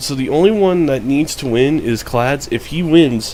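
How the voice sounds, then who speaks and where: Against noticeable background noise, a man speaks at a fairly high pitch and moderate pace with ordinary pitch variation. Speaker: fantasy sports league commentator. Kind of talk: casual league recap.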